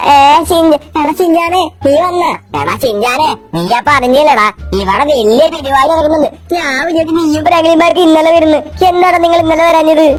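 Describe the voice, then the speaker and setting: A put-on character voice, high in pitch and at a moderate pace, plays over clear music in the background. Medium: machinima.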